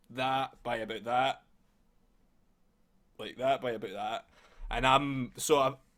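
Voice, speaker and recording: A man in a Scottish accent talks at a medium pitch and fairly slow pace. His loudness swings widely, and he pauses long and often. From Scotland. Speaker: podcast host. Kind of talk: casual chat. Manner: animated.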